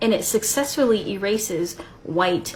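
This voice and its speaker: Background noise can be clearly heard. Through it, a woman talks. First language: Spanish. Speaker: video creator responding to critic. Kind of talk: response video rebuttal.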